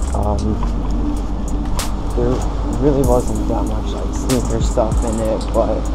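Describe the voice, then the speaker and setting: A man speaks at a moderate speed while music plays behind him. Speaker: vlogger. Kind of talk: casual vlog chat. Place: beach. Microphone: phone near.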